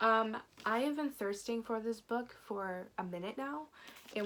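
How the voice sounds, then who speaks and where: With a plain, everyday voice, a woman speaks at a fairly high pitch and a moderate pace, her intonation lively. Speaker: book YouTuber. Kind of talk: casual vlog chat.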